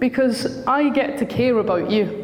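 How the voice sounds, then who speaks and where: Over noticeable background noise and audible room echo, a woman with a Scottish accent speaks at a fairly high pitch. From Scotland. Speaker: school counsellor. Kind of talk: talk to parents.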